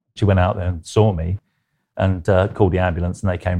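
Over a quiet background, a man with a fairly low pitch and a dark, mellow tone speaks at a very fast pace. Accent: London. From South London. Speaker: artist, former advertising executive. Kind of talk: interview conversation.

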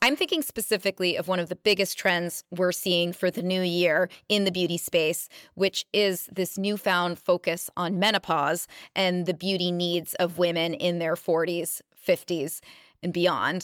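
A woman speaks fairly slowly in an ordinary speaking voice, fairly low in pitch with fairly even intonation. The recording is very clean with a silent background, dry and close with no echo. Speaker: magazine editor-in-chief. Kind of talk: casual interview chat.

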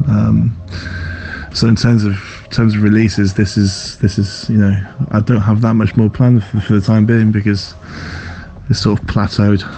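Against noticeable background noise, a man with a fairly low pitch talks at a moderate pace with fairly even intonation, very even loudness, and long, frequent pauses. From North Wales. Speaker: dubstep producer. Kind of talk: interview.

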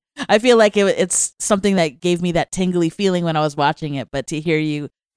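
A woman with an American accent uses an ordinary speaking voice, fairly low in pitch with ordinary variation, at a moderate pace in a dry, close sound with no echo. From US, Virginia. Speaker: podcast host and magazine editor. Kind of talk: casual chat. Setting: studio.

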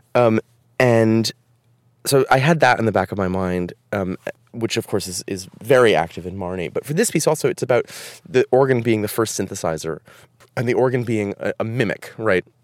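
In a plain, everyday voice, a man with an American accent speaks at a fairly quick pace, with medium pitch and lively intonation. The recording is very clean, with a silent background and a dry, close sound with no echo. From US Northeast, Providence, Rhode Island. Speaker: composer. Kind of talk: casual interview chat.

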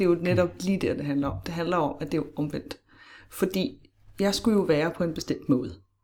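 A woman's dark, mellow tone at a very fast pace. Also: fairly low pitch for a woman, ordinary pitch variation. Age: 30s. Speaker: podcast guest sharing personal story. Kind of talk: casual interview conversation.

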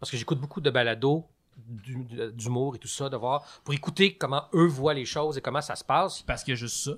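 The recording is very clean, the background silent. A man with an unremarkable speaking voice talks at a fairly quick pace, fairly high in pitch, with ordinary pitch variation. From Quebec, Laurentides. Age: 40s. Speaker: storyteller. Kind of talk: casual chat.

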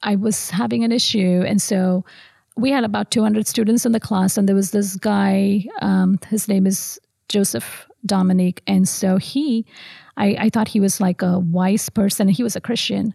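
A woman at medium pitch speaks at a moderate pace with a dark, mellow, somewhat breathy tone, ordinary pitch variation and very even loudness, recorded dry and close with no echo. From South India (Madurai). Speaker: pediatrician. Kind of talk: testimony. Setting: church.

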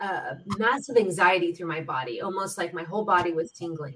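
A woman's normal speaking voice at medium pitch, with ordinary pitch variation and a fairly quick pace. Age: 50s. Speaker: podcast host, spiritual healer. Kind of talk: casual chat.

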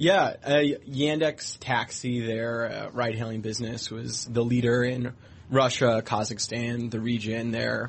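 At a very slow pace, a man talks at medium pitch with fairly even intonation. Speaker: tech reporter. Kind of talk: radio business interview. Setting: studio.

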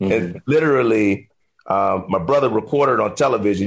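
A man of medium pitch uses a normal speaking voice, moving rather briskly with normal rise and fall in pitch. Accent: American. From Miami, Florida. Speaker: financial advisor. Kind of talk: interview.

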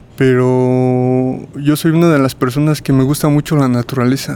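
Fairly slow speech in a flat monotone comes with a dark, mellow tone. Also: man. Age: 30s. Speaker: prison inmate with schizophrenia. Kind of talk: interview testimony. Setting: psychiatric prison center.

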